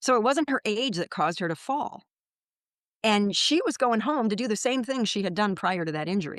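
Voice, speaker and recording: A woman's unremarkable speaking voice, fairly high-pitched, fairly quick and lively in intonation, against a quiet background. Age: 60s. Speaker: physical therapist and pain consultant. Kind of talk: interview.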